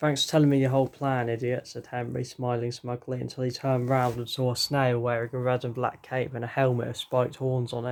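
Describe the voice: The clip is plain reading aloud.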